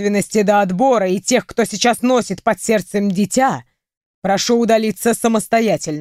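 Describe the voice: The background stays quiet. The delivery is plain reading aloud.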